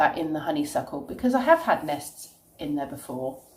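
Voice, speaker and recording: A woman speaks with a British accent. There is noticeable background noise. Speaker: childminder and vlogger. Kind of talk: casual talk to camera.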